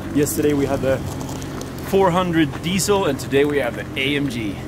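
The speech moves at a moderate pace in a dry, echo-free sound, with noticeable background noise. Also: man. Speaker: vlogger. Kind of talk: casual vlog chat. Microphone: camera far.

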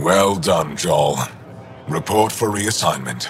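Using a put-on character voice, a man speaks slowly at a low pitch with lively intonation over faint background noise.

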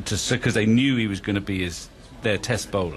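Here a man talks with fairly even intonation. Light background noise can be heard. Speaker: radio cricket commentator. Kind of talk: radio commentary panel chat during a rain delay. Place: booth.

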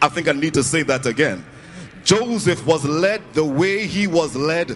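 Music plays in the background as a man talks at a fairly slow pace with ordinary pitch variation. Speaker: preacher. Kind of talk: sermon. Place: hall. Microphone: handheld.

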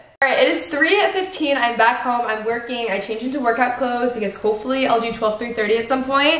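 In a room with audible echo, a woman with a high pitch talks at a fairly quick pace with hardly any pauses. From North Texas. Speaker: lifestyle vlogger. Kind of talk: casual vlog talk to camera. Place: home room. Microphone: camera far.

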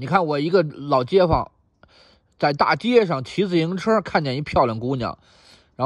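A man's high voice in a Beijing accent, with very wide pitch swings over a quiet background. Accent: Beijing Mandarin. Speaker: YouTube commentator. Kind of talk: monologue answering listener email.

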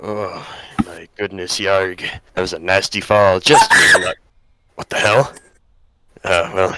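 In a raspy, put-on character voice, a man speaks at a fairly low pitch and fairly slow pace with long, frequent pauses. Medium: role play.

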